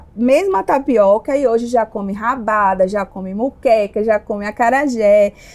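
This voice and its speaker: With lively intonation, a woman talks in a fairly high voice. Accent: Bahian. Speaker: entrepreneur, restaurant owner. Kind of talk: podcast interview. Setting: at her restaurant.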